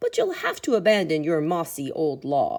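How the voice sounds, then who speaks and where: Putting on a character voice, a woman speaks at a moderate pace with a fairly low pitch. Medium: read story.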